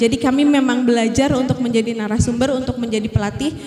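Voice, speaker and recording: A woman speaks in a Sundanese accent at a high pitch. Audible room echo and noticeable background noise fill the recording. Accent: Sundanese-tinged Indonesian, noticeable. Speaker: teacher and workshop speaker. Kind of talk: workshop presentation. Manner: polite, formal address with hesitations.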